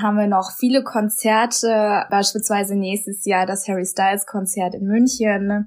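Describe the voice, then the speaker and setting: It is an unremarkable speaking voice. The woman talks at a fairly slow pace with a medium pitch. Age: 20s. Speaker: host sister. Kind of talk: interview.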